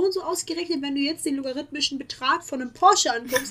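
Raising and projecting her voice, a woman speaks very fast at a high pitch with an animated tone and ordinary pitch variation. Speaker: podcast co-host, student. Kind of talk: casual chat.

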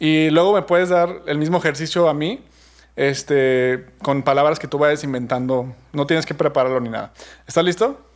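A man speaks at a moderate pace in a fairly high voice with ordinary pitch variation. He has a Mexican accent. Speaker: podcast host. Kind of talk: casual chat. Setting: remote recording.

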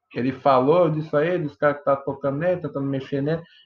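A man talks at a very fast pace with a fairly high pitch. His voice is somewhat breathy. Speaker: podcast host. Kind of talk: casual chat. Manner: animated.

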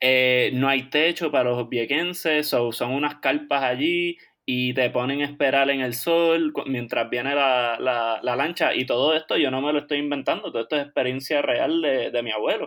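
A man talks at a moderate pace with hardly any pauses. He has a plain, everyday voice at a medium pitch. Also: ordinary pitch variation. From Puerto Rico, Caguas. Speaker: podcast co-host, chiropractic student. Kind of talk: casual chat.

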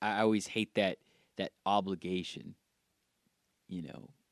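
Here a man speaks at a very slow pace. His intonation stays fairly even. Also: dry, close sound with no echo. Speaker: podcast co-host. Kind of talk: casual chat.

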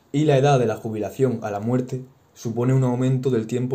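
Fairly even intonation marks this man's medium-pitched voice, which has a dark, mellow tone. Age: 20s. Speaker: university teacher. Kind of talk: podcast interview.

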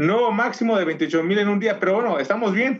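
The speaker uses a Mexican accent and keeps a moderate pace. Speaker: podcast co-host. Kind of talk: casual chat.

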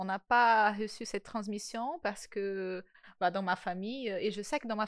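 With a strong non-native accent, a woman talks at a moderate pace and medium pitch, showing ordinary pitch variation against a quiet background. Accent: marked foreign accent in French. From Brazil. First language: Portuguese (speaking French). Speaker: podcast host. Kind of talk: casual chat.

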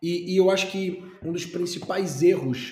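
A man with a dark, mellow tone speaks at a very slow pace, with audible room echo. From Brazil, Recife (Pernambuco). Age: 30s. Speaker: franchise entrepreneur and YouTuber. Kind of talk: interview. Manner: animated.

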